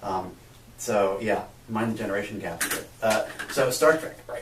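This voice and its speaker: A man with an American accent talks with a fairly low pitch and ordinary pitch variation. Audible room echo and noticeable background noise are present. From USA. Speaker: physics lecturer and researcher. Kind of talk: interview.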